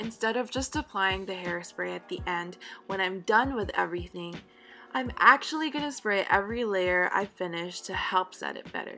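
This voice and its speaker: Music plays in the background as a woman speaks at a medium pitch. Her loudness swings widely. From Philippines. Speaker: beauty vlogger. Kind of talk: hair tutorial voice-over. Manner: friendly, upbeat.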